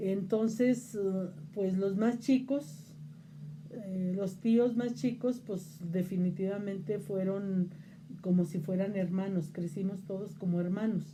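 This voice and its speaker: A somewhat breathy, medium-pitched woman's voice at a very slow pace, with ordinary pitch variation and audible room echo. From Mexico, Zacatecas. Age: 60s. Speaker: interviewee on local religious tradition. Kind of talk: interview. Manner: hesitant fillers (este, eh).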